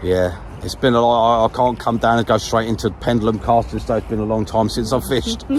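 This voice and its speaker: Speaking with a London accent, a man races along at a very fast pace with hardly any pauses, at medium pitch with ordinary pitch variation. Noticeable background noise sits behind him. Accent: southeast London. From southeast London. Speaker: fishing vlogger. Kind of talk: casual chat. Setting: outdoors.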